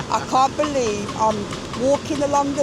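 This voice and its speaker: A woman with a Birmingham accent speaks in an animated tone at a fairly slow pace with ordinary pitch variation. Noticeable background noise and audible room echo are present. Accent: Birmingham (Brummie) English. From England, Birmingham. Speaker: tourist interviewed on the street. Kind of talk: casual street interview. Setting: outdoors on the beach.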